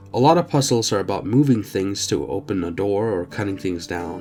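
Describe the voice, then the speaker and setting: Music plays in the background as a man talks. He moves at a fairly quick pace, his intonation lively. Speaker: game reviewer. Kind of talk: video game review narration.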